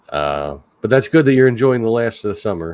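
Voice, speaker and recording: A man is speaking. He talks with a Philadelphia accent. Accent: Philly. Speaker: livestream host, park worker. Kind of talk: casual chat. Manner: halting.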